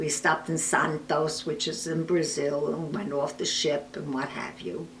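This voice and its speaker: With noticeable background noise and audible room echo, a woman with an American accent speaks in a very deep, low voice. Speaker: oral history interviewee. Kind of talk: oral history interview.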